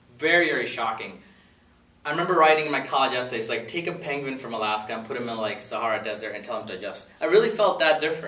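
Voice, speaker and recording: Lively intonation runs at a very fast pace amid noticeable background noise and audible room echo. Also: man, fairly high pitch for a man. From India, Gujarat; moved to Connecticut at 13. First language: Gujarati. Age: 30s. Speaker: speaker at a dinner with friends. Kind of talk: after-dinner talk. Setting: dinner gathering with friends. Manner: casual, conversational.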